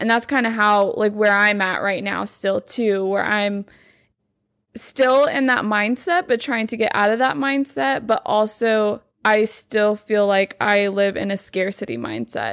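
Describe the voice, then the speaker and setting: In an American accent, a woman with a fairly high pitch speaks at a fairly slow pace with ordinary pitch variation against a quiet background. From Texas, Lubbock. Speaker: podcast host. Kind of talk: casual chat.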